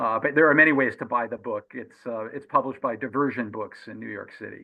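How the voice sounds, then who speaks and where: The speech moves at a very fast pace with big swings in loudness. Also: man, medium pitch for a man. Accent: American. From Massachusetts. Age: 60s. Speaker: journalist and author. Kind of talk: interview. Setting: radio show. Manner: animated.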